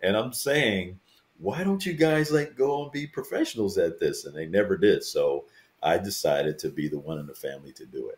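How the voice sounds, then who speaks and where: The man talks at a fairly quick pace. His loudness swings widely. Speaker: a cappella bass singer. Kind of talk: casual interview chat.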